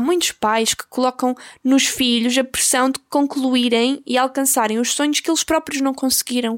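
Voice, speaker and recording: A woman with a European Portuguese accent, high in pitch at a moderate pace, in a dry, close sound with no echo and a very clean recording with a silent background. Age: 20s. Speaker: podcast host and YouTuber. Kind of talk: casual monologue. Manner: halting, many fillers.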